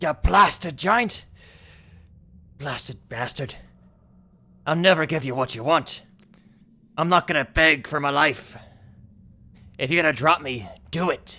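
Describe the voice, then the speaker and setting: A man puts on a character voice at a fairly high pitch. He moves at a moderate pace with long, frequent pauses. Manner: defiant.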